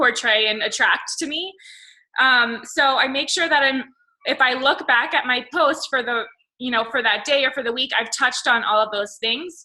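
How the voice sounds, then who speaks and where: A woman with a high pitch and a bright, sharp tone uses a raised, projected voice at a moderate pace, with ordinary pitch variation. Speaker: fitness coach. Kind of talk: team call.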